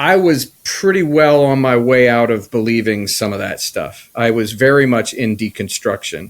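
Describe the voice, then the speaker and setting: Using an unremarkable speaking voice with an American accent, a man at medium pitch talks with lively intonation and hardly any pauses. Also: moderate pace. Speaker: podcast co-host. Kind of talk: personal testimony in casual chat.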